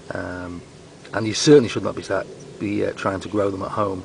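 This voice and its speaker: With noticeable background noise behind him, a man speaks at a moderate pace in a very deep, low pitch with fairly even intonation. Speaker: comedy gardening presenter. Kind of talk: mock tutorial. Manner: whispering; deadpan.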